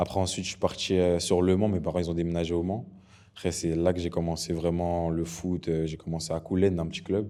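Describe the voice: Fast and low-pitched, a man speaks with little pitch movement and a dark, mellow tone.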